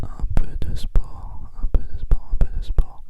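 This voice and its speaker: A man whispering over noticeable background noise. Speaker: ASMR creator. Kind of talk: casual talk to camera, ASMR whisper. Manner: whispered, soft, close to the microphone.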